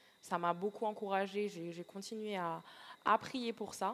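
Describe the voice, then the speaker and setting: A woman at a moderate pace. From Martinique. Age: 20s. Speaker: aspiring missionary. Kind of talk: interview testimony. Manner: halting with many hesitations.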